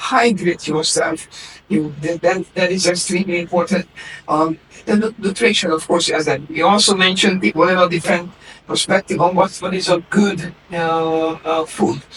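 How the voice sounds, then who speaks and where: A man's high-pitched voice at a moderate pace with fairly even intonation, over noticeable background noise. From Hungary, Budapest. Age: 60s. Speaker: naturopath. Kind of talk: interview. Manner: halting.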